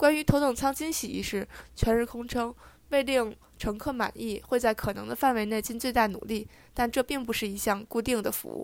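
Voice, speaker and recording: At a fairly slow pace, a woman speaks in an unremarkable speaking voice. Her pitch is fairly high and her intonation fairly even. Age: 20s. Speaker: podcast co-host, student. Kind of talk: news reading; casual chat.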